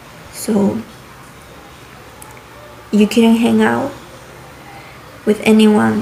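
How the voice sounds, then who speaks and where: A woman speaks at a very slow pace with long, frequent pauses over noticeable background noise. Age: 20s. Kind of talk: casual talk to camera. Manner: rambling.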